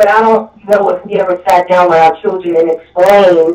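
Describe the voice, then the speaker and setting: A woman talks at a moderate pace in a Brooklyn accent. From Brooklyn, New York. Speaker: caller. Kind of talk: call-in radio discussion.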